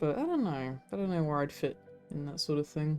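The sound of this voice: With music in the background, a woman speaks at a fairly quick pace in a very deep, low pitch with ordinary pitch variation.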